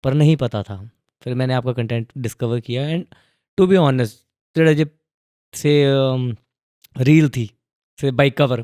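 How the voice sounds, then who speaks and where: Pausing long and often, a man speaks at medium pitch with a dark, mellow tone and ordinary pitch variation, the sound dry and close with no echo on a very clean recording with a silent background. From Himachal Pradesh, India. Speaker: podcast host, filmmaker. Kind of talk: casual interview chat.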